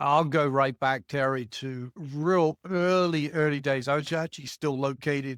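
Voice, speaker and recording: A man's fairly high voice in an English accent, fairly even in intonation and at a moderate pace, on a very clean recording with a silent background and a dry, close sound with no echo. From England. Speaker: marketing executive. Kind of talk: interview.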